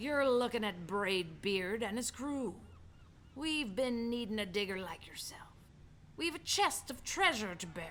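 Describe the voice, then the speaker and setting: Putting on a character voice, a woman speaks at a fairly high pitch and a moderate pace over clear background noise. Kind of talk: read-aloud picture book. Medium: read story. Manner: loud, bellowing, pirate slang.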